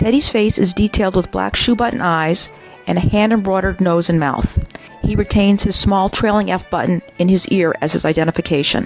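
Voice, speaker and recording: Over music in the background, a woman talks at a fairly quick pace in a medium-pitched voice with ordinary pitch variation and very even loudness. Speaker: bear and toy specialist describing collection highlights. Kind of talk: corporate narration, auction preview presentation. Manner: informative, enthusiastic.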